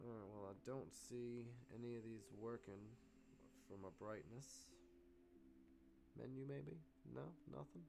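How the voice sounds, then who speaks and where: In a room with audible echo, a man with a fairly low pitch and a dark, mellow tone speaks at a fairly slow pace, with lively intonation and long, frequent pauses. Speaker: stock and crypto day-trading livestreamer. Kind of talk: casual livestream talk while fixing tech problems. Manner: loud.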